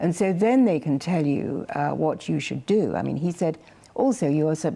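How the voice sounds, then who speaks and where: A woman talks at a moderate pace in a very deep, low voice. Her intonation is lively. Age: 70s. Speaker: health show presenter, former nurse. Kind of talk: casual chat. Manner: animated.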